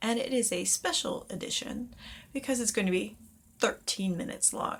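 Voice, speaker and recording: A woman's fairly high voice with vocal fry, ordinary pitch variation and a moderate pace. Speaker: witchcraft teacher. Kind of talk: casual talk to camera.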